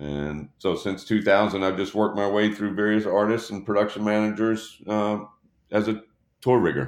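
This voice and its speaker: A man's fairly low voice, an ordinary speaking voice, at a moderate pace with ordinary pitch variation. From Texas, Dallas. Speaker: touring production rigger. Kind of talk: casual interview.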